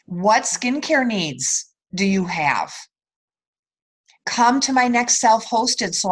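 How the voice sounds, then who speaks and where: Against a quiet background, a woman with a fairly high pitch speaks at a very slow pace, somewhat breathy, with lively intonation. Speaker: direct sales team leader. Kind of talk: sales training call. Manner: softer when giving tough love.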